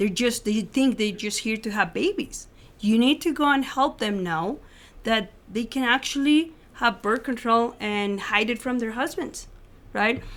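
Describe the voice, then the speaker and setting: On a very clean recording with a silent background, a woman with a Spanish accent speaks at a fairly high pitch that varies in an ordinary way. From Mexico City, Mexico. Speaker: former clinic worker turned pro-life advocate. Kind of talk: interview testimony.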